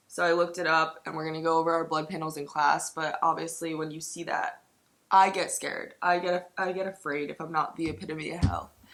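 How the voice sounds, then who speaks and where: The voice jumps sharply between loud and soft and moves at a fairly quick pace. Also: woman. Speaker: fitness vlogger. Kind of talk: casual video diary. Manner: chatty, animated.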